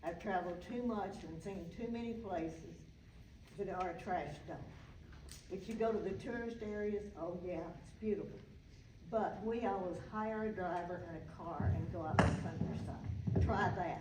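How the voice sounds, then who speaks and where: Speaking at a medium pitch, a woman talks in a Southern US accent. Room echo is audible and background noise is noticeable. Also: ordinary pitch variation, moderate pace. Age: 80s+. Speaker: public commenter. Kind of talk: public comment at council meeting. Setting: council meeting. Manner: animated.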